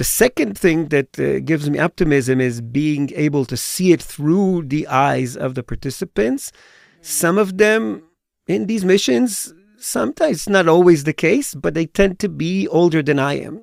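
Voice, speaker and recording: Here a man uses a normal speaking voice, fairly high in pitch, with lively intonation. His moderate pace is captured in a dry, close sound with no echo. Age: 50s. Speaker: tour educator. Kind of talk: personal testimony in podcast interview.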